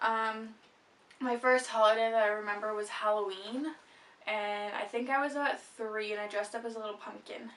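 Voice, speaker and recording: With a Canadian accent, a woman speaks in an ordinary speaking voice at a fairly high pitch. Her pace is moderate and her intonation fairly even. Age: young. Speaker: vlogger. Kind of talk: casual chat.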